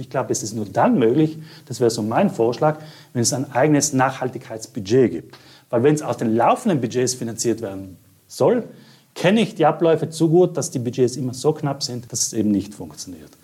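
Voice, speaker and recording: Fairly quick, lively speech from a man with a fairly high pitch, a dark, mellow tone and a somewhat breathy quality. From South Tyrol, Italy. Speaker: art curator. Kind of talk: interview.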